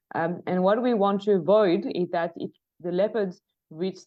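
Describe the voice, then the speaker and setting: A woman speaks in a French accent. Her voice is fairly low and her pace fairly quick. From France. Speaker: leopard researcher, conservation project manager. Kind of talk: podcast interview. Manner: hesitant, many fillers and restarts.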